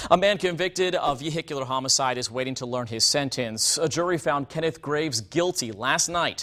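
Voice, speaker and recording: A man talks at a fairly quick pace with hardly any pauses, using a normal speaking voice, a fairly high pitch and ordinary pitch variation. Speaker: TV news anchor. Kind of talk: TV news anchor delivery, anchor demo reel.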